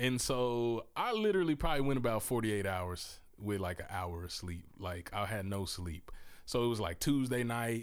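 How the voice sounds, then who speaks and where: Here a man talks in a Southern US accent. His intonation is lively. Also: medium pitch for a man, moderate pace. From US South, Mississippi. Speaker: podcast host and author. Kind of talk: casual interview chat. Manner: animated.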